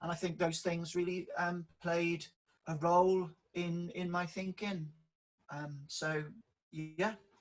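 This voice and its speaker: High-pitched man with a strong Welsh accent, a very slow pace, long and frequent pauses and monotone, flat intonation. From South Wales valleys, near Merthyr Tydfil. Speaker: public sector leadership director. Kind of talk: interview.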